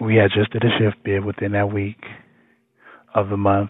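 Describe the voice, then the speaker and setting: This man's voice sits fairly low and moves at a moderate pace. His intonation is monotone and flat. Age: 30s. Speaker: culinary school graduate. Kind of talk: personal testimony.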